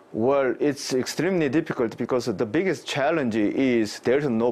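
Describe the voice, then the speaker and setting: Speaking at a fairly slow pace, a man talks with a Korean accent. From South Korea. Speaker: cybersecurity professor. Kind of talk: live interview. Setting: remote live link. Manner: halting, many fillers. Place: office. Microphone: lapel.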